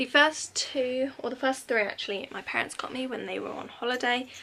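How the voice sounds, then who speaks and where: A woman's high pitch and bright, sharp tone at a moderate pace, with a British accent. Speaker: YouTuber, pin collector. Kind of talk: casual vlog haul. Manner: chatty with many fillers.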